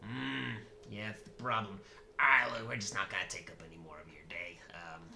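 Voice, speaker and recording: A put-on character voice at a low pitch moves at a fairly quick pace over clear background noise. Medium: actual play. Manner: hesitant, rambling.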